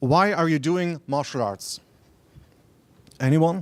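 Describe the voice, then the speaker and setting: A man speaks with a German accent at a moderate pace. His pitch is fairly high and his intonation lively. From Germany. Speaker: martial arts researcher. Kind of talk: conference lecture. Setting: stage with audience. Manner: halting.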